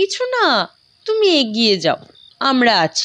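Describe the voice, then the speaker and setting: This is a put-on character voice. Its pitch swings very widely. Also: woman. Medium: audio drama. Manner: sarcastic, teasing.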